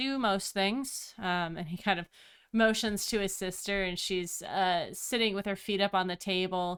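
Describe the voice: Here is plain reading aloud. Its intonation is fairly even.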